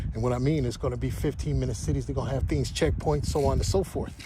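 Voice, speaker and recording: A man talks at a very fast pace in a fairly low pitch with very wide pitch swings. Noticeable background noise and audible room echo fill the recording. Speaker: religious livestreamer. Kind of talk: walking livestream monologue. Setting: outdoors, walking.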